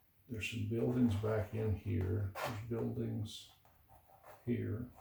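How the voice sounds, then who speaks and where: A man is mumbling. He goes at a very slow pace. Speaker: painter. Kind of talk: tutorial.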